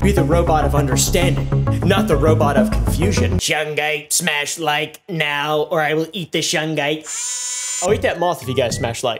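Speech at a moderate pace comes over clear music in the background. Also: man. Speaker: YouTube commentary host. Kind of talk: energetic comedic commentary.

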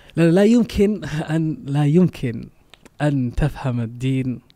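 Against a quiet background, a man with a non-native accent speaks with lively intonation. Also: big swings in loudness. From Denmark. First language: not Arabic (speaking Arabic). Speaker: Islamic preacher. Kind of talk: preaching message in English; interview. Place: studio. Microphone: studio mic.

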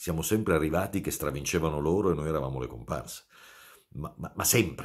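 A man's voice with vocal fry and ordinary pitch variation, over a quiet background. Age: 50s. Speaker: football commentator. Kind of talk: casual video monologue. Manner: halting, with many fillers. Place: home room. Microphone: phone near.

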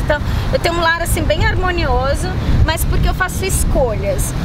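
Over loud background noise, a woman talks at a fairly quick pace with an extremely high pitch and very wide pitch swings. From Brazil. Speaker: YouTuber. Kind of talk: casual chat. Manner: animated. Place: waterside.

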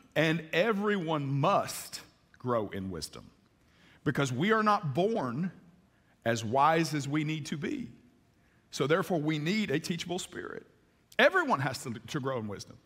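A man talks at a moderate pace with vocal fry, very wide pitch swings, and long, frequent pauses. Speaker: pastor. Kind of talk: sermon. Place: church.

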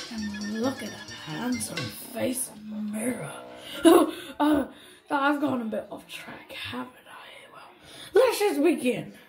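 A cartoonish character voice speaks at a fairly high pitch. It moves at a fairly slow pace with long, frequent pauses. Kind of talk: cartoon-style character monologue. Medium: puppet.

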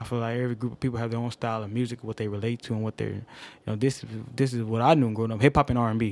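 Very fast and in a monotone, flat intonation, a man speaks with a dry sound and no echo. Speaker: podcast guest panelist. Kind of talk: casual chat. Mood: reflective, nostalgic. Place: home room. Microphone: studio mic.

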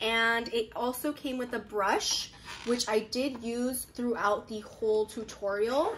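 Speech comes at a very slow pace against light background noise. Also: woman. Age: 20s. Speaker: beauty vlogger. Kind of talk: makeup tutorial. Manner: animated. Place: home room. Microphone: phone near.

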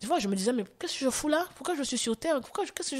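A woman's voice with very wide pitch swings. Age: 40s. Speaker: testimony guest, former choreographer. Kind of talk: testimony.

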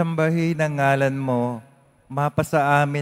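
A man with an unremarkable speaking voice speaks at a fairly slow pace, fairly high in pitch and with fairly even intonation. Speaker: lector and congregation leader at Mass. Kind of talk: liturgical reading and responses. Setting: church.

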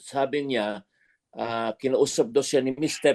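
Recorded dry and close with no echo, a man with a dark, mellow tone speaks at a moderate pace and ordinary pitch variation. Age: 80s+. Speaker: gospel singer. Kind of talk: casual chat.

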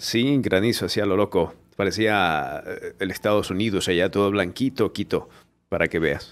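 A man with a fairly low voice talks at a moderate pace, his pitch varying in an ordinary way. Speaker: podcast host. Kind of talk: live podcast host talk. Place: studio. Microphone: studio mic.

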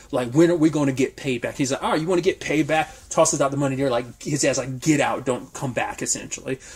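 A man's fairly high voice, somewhat breathy, at a very fast pace with hardly any pauses. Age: 30s. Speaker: TV review youtuber. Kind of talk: solo video review. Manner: casual, animated.

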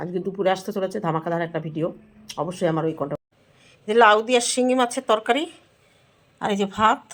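Here is a woman with a plain, everyday voice at medium pitch. Her intonation is lively. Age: middle-aged. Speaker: vlogger. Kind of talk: casual vlog talk to camera.

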